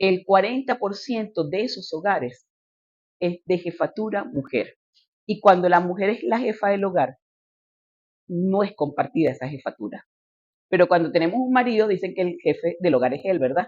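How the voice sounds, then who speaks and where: At a moderate pace, a woman with a medium pitch speaks with lively intonation and long, frequent pauses. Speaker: politician and lecturer. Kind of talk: lecture.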